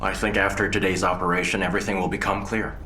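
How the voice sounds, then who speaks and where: A man's put-on character voice, very deep and low in pitch, at a very fast pace over clear background noise. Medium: fan dub. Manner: calm, steady.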